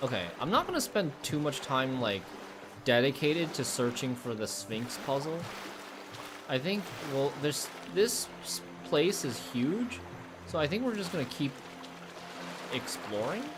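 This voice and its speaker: Speaking with an American accent, a man talks at a fairly high pitch and fairly slow pace, with very wide pitch swings, long, frequent pauses, audible room echo, and music in the background. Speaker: gaming streamer. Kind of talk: live gameplay commentary. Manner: casual, filler-heavy.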